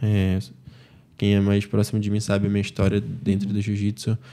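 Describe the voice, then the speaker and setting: Against a quiet background, a man with a fairly low pitch and a dark, mellow tone speaks at a moderate pace. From Manaus, Brazil. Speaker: jiu-jitsu athlete; podcast guest. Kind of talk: casual interview. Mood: relaxed, reflective. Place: studio. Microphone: studio mic.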